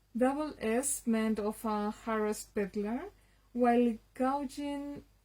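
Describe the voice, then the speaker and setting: Speech at a fairly slow pace, with a Spanish accent. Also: woman. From Spain. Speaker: literature enthusiast. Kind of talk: reading aloud. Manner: halting.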